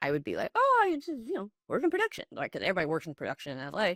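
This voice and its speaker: A woman speaks in an animated tone with an American accent, her voice dry and close with no echo on a very clean recording against a silent background. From Illinois, US Midwest. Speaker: actress and writer. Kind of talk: podcast interview. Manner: animated, chatty.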